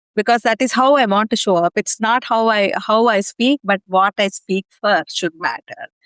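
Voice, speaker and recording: A woman's voice with very even loudness, ordinary pitch variation and hardly any pauses, in a dry, close sound with no echo. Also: fairly high pitch for a woman, moderate pace. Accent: Indian. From India. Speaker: executive leader and community founder. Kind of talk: interview. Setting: podcast recording. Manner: many fillers (ums and ahs).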